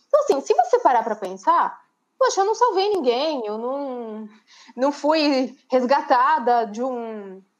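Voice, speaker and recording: Lively in intonation, a woman speaks at a high pitch and a fairly slow pace. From Brazil, São Paulo state interior (Bauru). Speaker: LinkedIn content creator and marketing teacher. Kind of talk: casual interview on a live stream.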